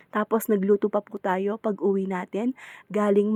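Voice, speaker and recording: With a dark, mellow tone, a woman talks at a moderate pace. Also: dry, close sound with no echo. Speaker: home food seller. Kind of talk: casual vlog narration to viewers. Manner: polite, chatty.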